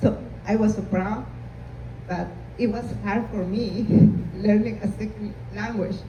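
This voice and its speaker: Noticeable background noise and audible room echo surround the recording. A woman with a Spanish accent talks at a moderate pace. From Peru. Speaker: immigrant panelist. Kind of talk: panel discussion. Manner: halting.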